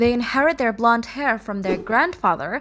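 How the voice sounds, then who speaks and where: Someone with a non-native accent talks at a moderate pace in a bright, sharp tone. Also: woman. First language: not English. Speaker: gaming video creator. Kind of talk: video essay narration. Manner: explanatory.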